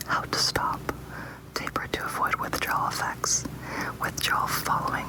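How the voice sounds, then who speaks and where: Whispering at a moderate pace with noticeable background noise. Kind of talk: ASMR reading of medication information. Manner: whispered.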